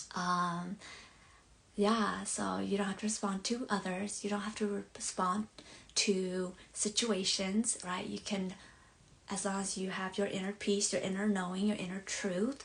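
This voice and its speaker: A woman speaks at a medium pitch with a Southeast Asian accent, her intonation flat and monotone, at a fairly slow pace. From born abroad, Hmong community. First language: Hmong. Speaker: life coach. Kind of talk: live stream monologue. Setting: bedroom, live stream. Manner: halting, many fillers.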